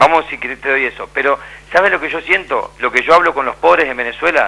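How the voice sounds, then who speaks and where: A man's very fast speech at a fairly high pitch, with ordinary pitch variation. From Argentina, Santa Fe. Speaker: documentary filmmaker. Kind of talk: debate on radio. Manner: animated.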